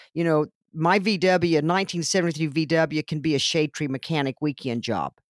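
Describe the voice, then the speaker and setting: With an American accent and an energetic tone, a woman with a very deep, low pitch talks at a fairly quick pace with ordinary pitch variation, on a very clean, dry, close recording with no echo and a silent background. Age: 60s. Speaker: technology center staff member. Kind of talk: interview.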